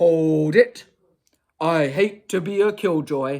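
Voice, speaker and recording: A put-on character voice at a middle pitch and a very slow pace. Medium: read story.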